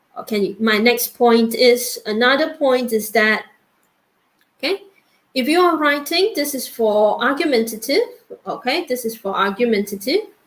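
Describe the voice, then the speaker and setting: Moderately paced speech from a woman, high-pitched and lively in intonation. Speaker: English teacher. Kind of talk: online workshop lecture.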